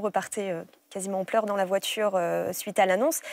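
The speaker is a woman. Her voice sounds dry, with no echo. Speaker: breast cancer survivor and mother; guest. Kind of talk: testimony. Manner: halting. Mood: emotional, calm recollection. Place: studio. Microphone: lapel.

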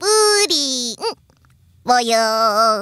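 In a put-on character voice, someone speaks with a playful tone at a fairly high pitch. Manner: cute, playful.

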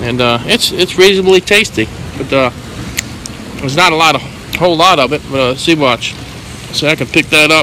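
Speech at a fairly quick pace comes through dry, with no echo, and noticeable background noise. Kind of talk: casual commentary. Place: street. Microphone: phone near.

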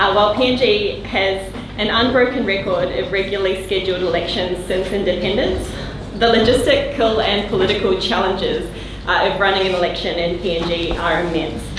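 A woman speaks at a moderate pace with fairly even intonation. The room echo is audible, and there is noticeable background noise. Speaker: panel chair. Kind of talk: formal introduction of a panel. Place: meeting room.

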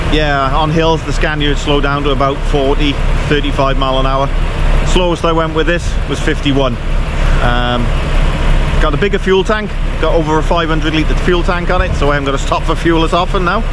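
The man's voice is dry with no echo, though noticeable background noise is present. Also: moderate pace. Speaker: truck driver vlogger. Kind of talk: casual vlog chat. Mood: pleased, relaxed. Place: street. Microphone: phone near.

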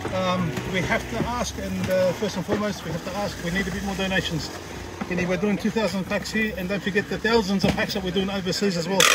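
Against loud background noise, a man with a high pitch talks at a very fast pace with fairly even intonation. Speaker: charity volunteer organiser. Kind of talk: on-site interview. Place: street. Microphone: muffled, too quiet; phone near.

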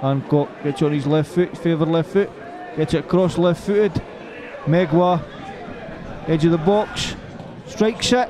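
A high-pitched male voice with ordinary pitch variation, long and frequent pauses, and noticeable background noise. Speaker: football commentator. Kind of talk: live football commentary. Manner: animated, rapid-fire; laughs and banters with co-commentator.

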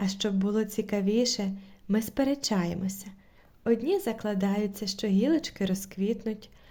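The text comes across as reading aloud in a natural voice.

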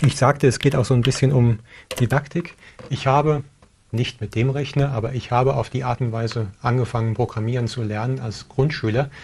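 Somewhat breathy and fairly quick, a man speaks with fairly even intonation against light background noise. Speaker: tech show host. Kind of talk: tutorial. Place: studio. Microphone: lapel.

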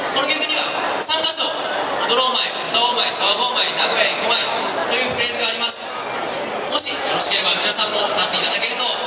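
Amid crowd noise and audible room echo, a woman talks at a very fast pace with ordinary pitch variation. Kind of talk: stage announcement. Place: street.

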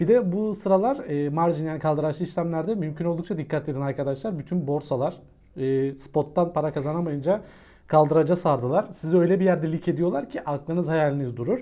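Against a quiet background, a man with a fairly high voice and dark, mellow tone talks at a fairly quick pace with ordinary pitch variation. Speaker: crypto YouTuber. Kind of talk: technical analysis video monologue. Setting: recording away from his room, various places. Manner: fast; casual, joking.

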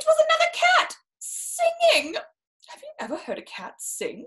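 The tone is fairly bright and the pace fairly slow. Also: woman.

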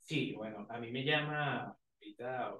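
A man talks in a space with audible room echo. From Venezuela. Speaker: university student leader; guest. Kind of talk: casual interview.

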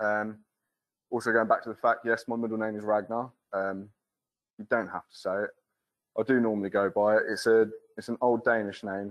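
Against a quiet background, a man talks at a fairly quick pace in a fairly low, flat, monotone voice. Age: 30s. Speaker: foundry apprentice. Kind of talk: presentation. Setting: stage with audience. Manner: casual and humorous. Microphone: video call.

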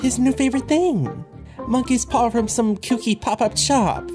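Over clear background music, a put-on character voice that sounds female speaks at a moderate pace with a fairly high pitch for a woman. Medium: dub.

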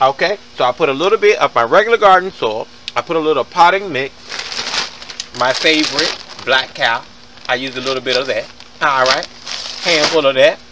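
Loud background noise under a man's fairly quick speech. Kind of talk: casual gardening tutorial. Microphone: phone near.

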